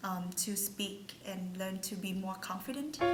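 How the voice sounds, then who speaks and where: A woman with a strong Vietnamese accent, amid audible room echo and noticeable background noise. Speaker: international student graduate. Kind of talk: personal testimony to camera.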